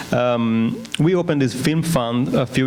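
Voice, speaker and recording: A man talks at a medium pitch in an Italian accent with ordinary pitch variation. Noticeable background noise and audible room echo are present. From northern Italy, Trentino. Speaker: regional film fund director. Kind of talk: panel presentation.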